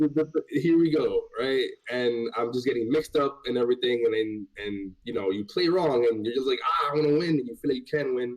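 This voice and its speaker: In a normal speaking voice, a man talks fairly quickly at a medium pitch with hardly any pauses. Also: ordinary pitch variation. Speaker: fighting game player. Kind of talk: casual chat. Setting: livestreamed podcast, remote.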